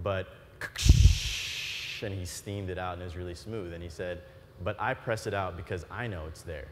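The pace is moderate. Background noise is noticeable. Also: man, very deep, low pitch for a man. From Florida. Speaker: entrepreneur; keynote speaker. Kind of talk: keynote speech. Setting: stage with audience. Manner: animated. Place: stage. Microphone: lapel.

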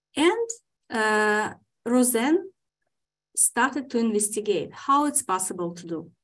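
A woman speaks at a very slow pace with a fairly high pitch against a quiet background. Her pitch swings very widely, and her loudness swings a lot too. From Ukraine. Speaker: historian; historian lecturer. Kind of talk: lecture. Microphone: video call.

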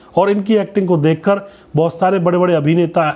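A dark, mellow, somewhat breathy tone at a moderate pace. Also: man. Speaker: channel host. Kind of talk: narrated biography. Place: studio. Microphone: lapel.

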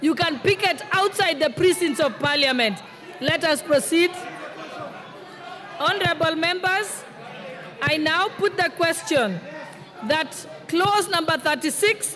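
Over crowd noise in the background, a woman talks at a fairly slow pace in an extremely high pitch, with ordinary pitch variation. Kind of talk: formal procedural chairing. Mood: firm amid disorder. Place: hall. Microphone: podium.

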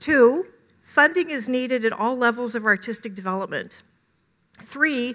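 Against a quiet background, a woman talks at a moderate tempo. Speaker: conference host introducing presenters. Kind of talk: prepared speech. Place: hall. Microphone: podium.

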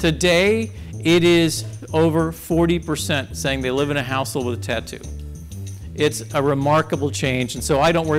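Clear music can be heard behind the voice. This man talks at a moderate pace. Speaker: conference speaker. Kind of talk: lecture. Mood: wry, joking. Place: hall. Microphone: lapel.

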